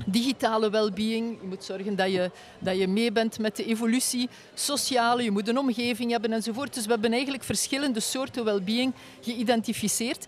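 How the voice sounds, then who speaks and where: The sound is dry with no echo, and light background noise sits behind it. A woman speaks at a fairly quick pace with fairly even intonation. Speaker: guest. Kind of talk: interview answer. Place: tent. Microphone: studio mic.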